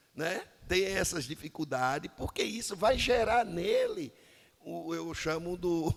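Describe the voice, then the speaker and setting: There is noticeable background noise behind a man with a high voice. He speaks fairly slowly with ordinary pitch variation. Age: 60s. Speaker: pastor. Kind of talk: interview. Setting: studio.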